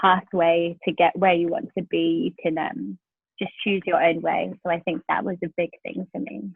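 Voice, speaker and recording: At a moderate pace, a woman talks in a South London accent. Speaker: pastor. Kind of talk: podcast interview answer.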